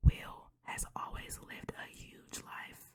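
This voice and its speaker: Someone whispers in a relaxed tone. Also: woman. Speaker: ASMR creator. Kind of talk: reading a book blurb and chatting casually, ASMR style. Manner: soft, relaxed.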